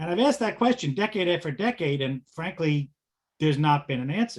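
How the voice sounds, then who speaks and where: The speaker is a man with a fairly high pitch. His voice is somewhat breathy. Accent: American. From Long Island, New York. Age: 60s. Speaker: business group member. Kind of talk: question at a business meeting.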